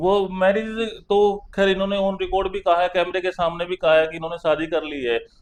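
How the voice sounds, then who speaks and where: Using a Haryanvi accent, a man with a high pitch speaks at a moderate pace with fairly even intonation. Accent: Haryanvi, unchanged. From Haryana. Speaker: lawyer. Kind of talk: interview.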